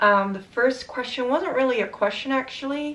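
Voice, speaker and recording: A woman speaks at a fairly slow pace. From Netherlands. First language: Dutch. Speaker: vlogger. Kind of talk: casual vlog Q&A.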